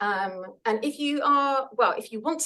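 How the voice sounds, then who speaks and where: A woman talks at a moderate pace with a bright, sharp tone. Her pitch swings very widely. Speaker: podcast host. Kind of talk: seminar talk. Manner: loud.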